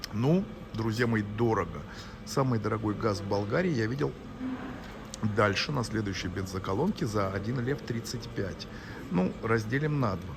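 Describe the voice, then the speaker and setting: Ordinary pitch variation at a moderate pace, with long, frequent pauses, audible room echo and noticeable background noise. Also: man, fairly low pitch for a man. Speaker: vlogger. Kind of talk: travel vlog. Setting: airport. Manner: soft-spoken; halting.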